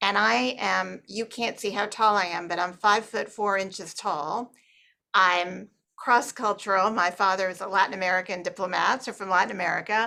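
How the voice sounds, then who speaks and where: Her tone bright and sharp, a woman speaks with vocal fry and ordinary pitch variation in a very clean recording with a silent background. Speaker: businesswoman, board member. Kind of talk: panel discussion. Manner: deliberately lowered pitch.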